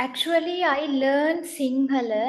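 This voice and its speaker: A woman speaks very slowly in a Tamil accent with ordinary pitch variation. The background is quiet. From northern Sri Lanka. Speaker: translator. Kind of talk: interview. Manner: halting, many fillers.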